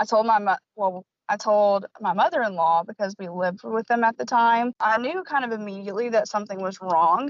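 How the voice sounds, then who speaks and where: A woman with a normal speaking voice and an American accent talks at a moderate pace, her fairly high pitch showing ordinary variation. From US South, small-town Tennessee. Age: 30s. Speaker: podcast guest, fertility patient. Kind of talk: personal testimony.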